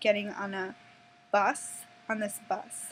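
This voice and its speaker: A woman talks in a Minnesota accent. Her pitch is medium. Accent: Minnesota American English. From Minnesota, US (Minneapolis and Plymouth). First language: Spanish. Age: 20s. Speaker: vlogger. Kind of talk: personal vlog storytelling. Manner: hesitant, many fillers and restarts.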